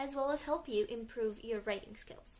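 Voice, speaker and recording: A woman speaks with a Romanian accent. Her pitch is high. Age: 20s. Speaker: English tutor. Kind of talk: tutor introduction to camera. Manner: enthusiastic, friendly.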